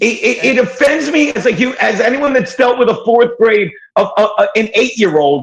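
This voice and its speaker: Extremely high in pitch, a man speaks at a moderate pace with lively intonation and very even loudness. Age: 60s. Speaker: podcast guest. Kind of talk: heated debate.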